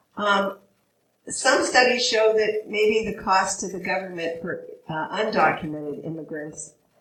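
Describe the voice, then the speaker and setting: A woman speaks at a fairly slow pace with lively intonation. The room echo is audible. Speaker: immigration attorney. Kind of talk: panel presentation. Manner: hesitant, many fillers.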